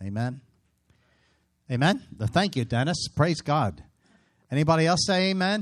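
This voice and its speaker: A man speaks at a moderate pace in a fairly high, animated voice with very wide pitch swings. Long, frequent pauses break his speech on a very clean recording with a silent background. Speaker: pastor. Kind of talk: sermon. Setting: church with congregation. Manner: animated, exhortative preacher cadence with call-and-response prompts like amen.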